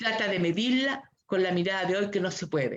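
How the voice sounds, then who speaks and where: A woman with a Chilean accent talks at a moderate pace. Her medium-pitched voice carries lively intonation. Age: 60s. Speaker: human rights activist. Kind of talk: panel discussion. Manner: impassioned.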